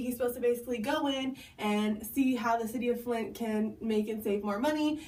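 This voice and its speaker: Audible room echo surrounds a woman speaking at a high pitch with fairly even intonation. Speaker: video blogger. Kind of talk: casual explainer monologue. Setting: bathroom at home. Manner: fast.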